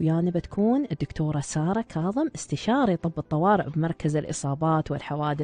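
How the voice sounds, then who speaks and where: With an Emirati accent, a woman talks in a very deep, low pitch and a dark, mellow tone, keeping her loudness very even, her pitch variation ordinary and her pauses almost nonexistent. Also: moderate pace, dry sound with no echo. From UAE. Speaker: radio host and doctor. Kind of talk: live radio show. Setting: studio. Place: studio.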